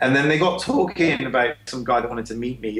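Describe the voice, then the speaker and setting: Over noticeable background noise, a man of medium pitch speaks at a fairly quick pace with ordinary pitch variation. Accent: English. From England, Cheltenham. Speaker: small business owner. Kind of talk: podcast interview. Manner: casual, many fillers.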